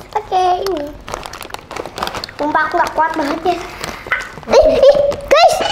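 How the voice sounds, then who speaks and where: A woman's extremely high voice with very wide pitch swings, a fairly slow pace and long, frequent pauses, amid noticeable background noise. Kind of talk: casual talk to camera. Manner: casual, chatty, reacting to spicy food.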